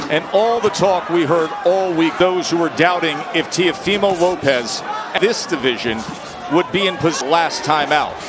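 A man speaks in a high voice at a fairly slow pace, with noticeable background noise. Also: ordinary pitch variation. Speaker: boxing commentator. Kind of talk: live commentary. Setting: broadcast from arena.

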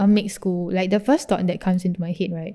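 Somewhat breathy and dark, mellow in tone, the voice carries a Singaporean accent and fairly even intonation against a quiet background. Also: woman. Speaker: podcast co-host. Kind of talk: casual chat. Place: home room.

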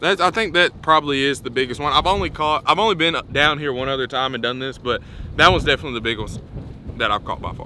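Talking at a fast pace, a man with a medium-pitched voice sounds bright and sharp, with ordinary pitch variation.

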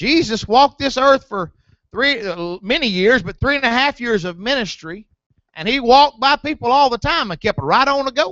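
At a moderate pace, a man speaks with an extremely high pitch, the sound dry with no echo and the background quiet. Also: lively intonation. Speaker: preacher. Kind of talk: sermon. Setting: church. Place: church.

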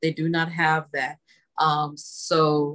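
The speech moves at a very slow pace. Intonation is monotone and flat, over a quiet background. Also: woman. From Texas, Dallas (Oak Cliff). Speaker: artist. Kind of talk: casual chat. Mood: warm, friendly. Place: home room.

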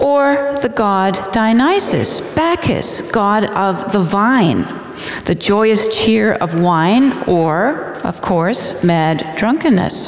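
A woman at a very slow pace and very even loudness, with very wide pitch swings and audible room echo. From Canada. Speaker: literature scholar and speaker; guest lecturer. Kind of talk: lecture. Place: church. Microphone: headset.

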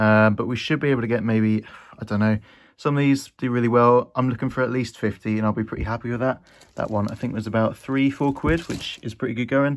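A man rattles along at a very fast pace, intonation fairly even. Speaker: vintage clothing reseller. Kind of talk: casual vlog chat. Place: home room. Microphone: phone near.

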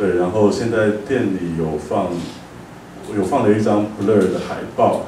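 A fairly low-pitched man at a fairly slow pace, fairly even intonation, long, frequent pauses, audible room echo and light background noise. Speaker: cafe owner; speaker. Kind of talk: lecture talk, conversational. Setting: live event with audience. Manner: frequent filler "对", casual. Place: hall.

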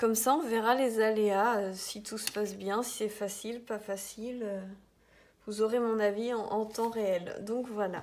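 A woman talks at a fairly slow pace with fairly even intonation. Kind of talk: tutorial. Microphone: phone near.

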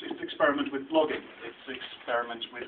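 A man talks at a fairly quick pace with noticeable background noise. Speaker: researcher presenting a report. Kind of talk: talk at a meeting. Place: meeting room.

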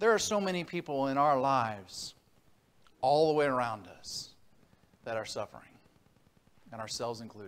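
A man at a moderate pace, his pitch swinging very widely and his loudness shifting a lot, with long, frequent pauses. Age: 40s. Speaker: preacher. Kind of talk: sermon. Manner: halting. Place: church.

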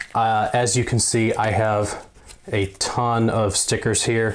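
A man speaks at a fairly low pitch, his voice moving very little in pitch.

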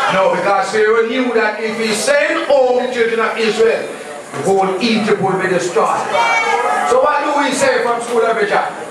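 Moderately paced talk with hardly any pauses, strong room echo and noticeable background noise. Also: man. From Jamaica. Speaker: Rastafarian speaker. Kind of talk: lecture. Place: hall.

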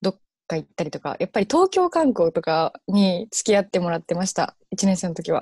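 A woman talks at a moderate pace in a dark, mellow, somewhat breathy tone. The sound is dry with no echo, and the background is quiet. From Japan, Kansai region. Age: 20s. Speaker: university student. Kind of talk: interview. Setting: online live stream. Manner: hesitant with many fillers. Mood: cheerful, smiling. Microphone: earbuds.

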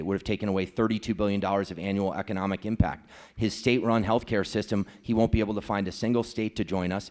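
A man talks at a fairly quick pace in a normal speaking voice, fairly low in pitch with fairly even intonation. The background is quiet. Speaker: candidate. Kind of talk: debate answer. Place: hall. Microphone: handheld.

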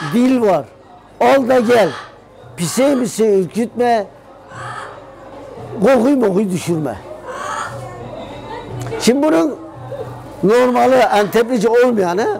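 In a Gaziantep accent, a man with a high pitch for a man speaks very slowly with lively intonation and long, frequent pauses, while clear music plays in the background. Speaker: local storyteller. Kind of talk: telling a dialect riddle then explaining it. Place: shop. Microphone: lapel.

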